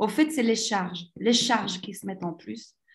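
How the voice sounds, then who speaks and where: A woman speaks at a moderate pace with lively intonation and a somewhat breathy voice. The recording is very clean, with a silent background. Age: 40s. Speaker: entrepreneur. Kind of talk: interview. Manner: animated.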